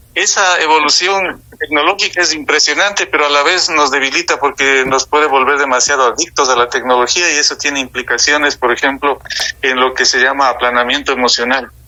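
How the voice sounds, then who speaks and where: Over noticeable background noise, a man talks at a fairly quick pace with hardly any pauses, using a fairly high pitch, ordinary pitch variation and very even loudness. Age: 60s. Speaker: political and social analyst. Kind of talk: radio talk show discussion.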